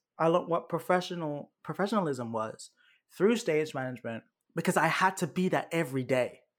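A man with a British accent talks fairly quickly in a high pitch with lively intonation. The recording is very clean, with a silent background. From United Kingdom. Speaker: actor. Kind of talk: casual interview.

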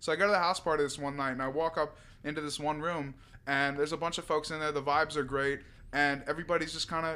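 Very fast and monotone, a man with a fairly high pitch speaks in a bright, sharp tone on a very clean recording with a silent background. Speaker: rapper and musician. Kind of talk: casual chat.

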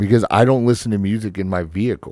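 A man talks at a fairly quick pace with a fairly low pitch. The recording is very clean, with a silent background. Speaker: podcast host, tattoo shop owner. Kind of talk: casual chat. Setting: studio. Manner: animated when projecting, relaxes over time.

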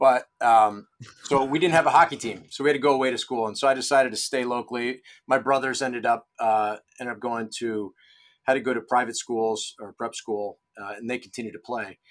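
On a very clean recording with a silent background, a man with an American accent talks at a fairly quick pace in an unremarkable speaking voice, medium in pitch, with fairly even intonation and big swings in loudness. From Rochester, New York. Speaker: golf club head pro. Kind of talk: interview.

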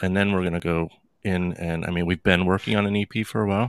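Bright and sharp in tone, a man with an American accent speaks at a fairly quick pace. The sound is dry and close with no echo, in a very clean recording with a silent background. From US Northeast (Connecticut, New Jersey). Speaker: guitarist. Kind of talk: casual chat.

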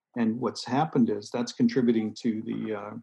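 The speaker is a man with a medium pitch. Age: 60s. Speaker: author and doctor. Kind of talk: interview.

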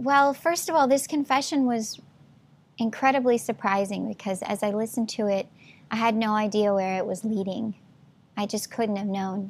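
Somewhat breathy, the voice carries an American accent. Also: woman, fairly high pitch for a woman, ordinary pitch variation, moderate pace, very clean recording, silent background. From Texas, Houston. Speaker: singer-songwriter. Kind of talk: interview.

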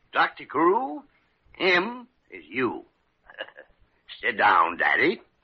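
The speaker uses a put-on character voice with very wide pitch swings and a slightly husky edge. The pace is very slow. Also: man, medium pitch for a man.

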